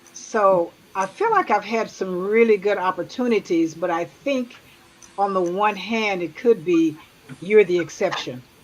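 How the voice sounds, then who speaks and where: A woman with an American accent talks at a fairly slow pace, her pitch medium with ordinary variation. Noticeable background noise sits behind her. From Tulsa, Oklahoma. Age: 70s. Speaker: retired nurse. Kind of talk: casual chat.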